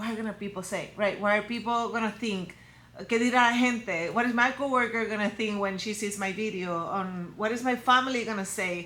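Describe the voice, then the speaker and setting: A woman with a Spanish accent speaks at a moderate pace in a fairly high pitch, her tone bright and sharp. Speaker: personal brand coach for women. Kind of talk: motivational talk to camera. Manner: energetic, direct.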